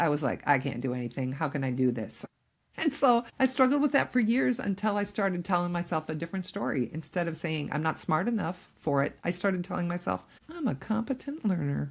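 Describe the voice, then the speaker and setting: A woman speaks at a fairly quick pace with vocal fry. Her pitch moves in very wide swings. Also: very clean recording, silent background. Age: 60s. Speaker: empty nest coach and podcast host. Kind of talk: casual chat.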